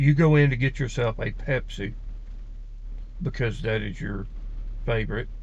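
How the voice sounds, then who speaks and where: A man speaks with an Alabama accent. Audible room echo surrounds his voice. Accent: Southern US (Alabama). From US South, Alabama. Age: 50s. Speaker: personality-type video creator. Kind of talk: casual monologue.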